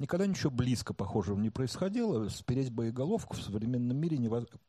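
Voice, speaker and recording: With a quiet background, a man's voice comes across dark and mellow. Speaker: marketing director. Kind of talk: talk before a live audience.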